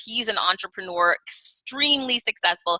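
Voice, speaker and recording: Her voice an unremarkable speaking voice, a woman talks at a fairly quick pace with lively intonation. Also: dry, close sound with no echo. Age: 40s. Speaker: business author and keynote speaker. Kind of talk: podcast interview.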